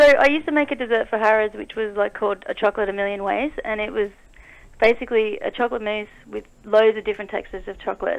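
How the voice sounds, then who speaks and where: Speaking at a very fast pace, a woman with an Australian accent uses a fairly high pitch and ordinary pitch variation. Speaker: dessert chef and small business owner. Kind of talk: radio interview. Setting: phone call.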